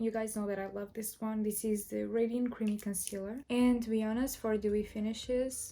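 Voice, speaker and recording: Fairly even intonation with music in the background. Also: woman. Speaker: beauty youtuber. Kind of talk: tutorial.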